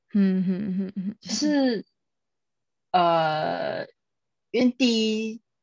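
A woman speaks very slowly in a fairly high, somewhat breathy voice with lively intonation and long, frequent pauses. The sound is dry and close, with no echo. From Taiwan. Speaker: guest. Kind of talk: casual chat.

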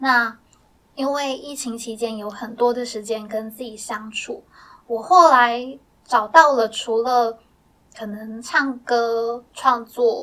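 A high-pitched woman's voice, very slow, with fairly even intonation. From Taiwan, Miaoli Hakka. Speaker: blind singer-songwriter. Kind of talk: interview conversation. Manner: relaxed, frequent hesitations.

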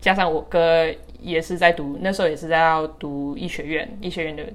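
Her pitch fairly low and her intonation fairly even, a woman speaks at a moderate pace in a normal speaking voice. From Taiwan, with childhood years in the US. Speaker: podcast co-host, interviewee. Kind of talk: casual interview chat.

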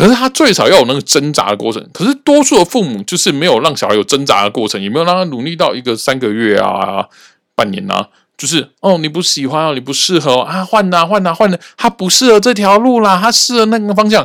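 Very wide pitch swings mark this man's high voice. He talks at a fairly quick pace. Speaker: podcast host, cram-school teacher. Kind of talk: casual monologue.

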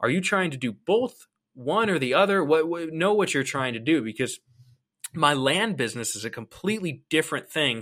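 On a very clean recording with a silent background, a man with an American accent speaks at a fairly quick pace, his fairly high voice bright and sharp in tone with lively intonation. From Ohio. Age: 20s. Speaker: real estate investor. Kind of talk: interview.

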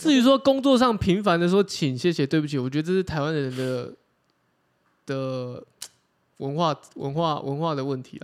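A man with a fairly high voice and an animated tone talks at a moderate pace, his loudness swinging widely between long, frequent pauses. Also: lively intonation. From Taiwan, Chiayi. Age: 30s. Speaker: podcast co-host. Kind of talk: casual chat. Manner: animated, laughs often.

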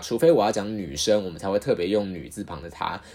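A man's fairly low voice comes through in a very clean recording with a silent background. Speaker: podcast host. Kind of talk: solo podcast monologue. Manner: casual, frequent fillers and repetitions.

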